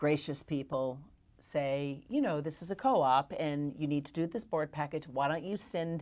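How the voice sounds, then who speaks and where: This woman has a very deep, low pitch with ordinary variation and a moderate pace. The recording is very clean, with a silent background. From Tennessee, US South. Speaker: real estate broker. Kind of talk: interview. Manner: animated.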